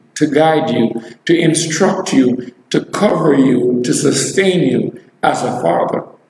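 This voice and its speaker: There is light background noise and audible room echo as a man with a fairly high pitch speaks at a fairly slow pace. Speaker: preacher. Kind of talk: live online sermon, preaching and prayer. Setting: live video stream. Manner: animated, exclamatory, fervent; rhetorical, repeats phrases for emphasis. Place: church.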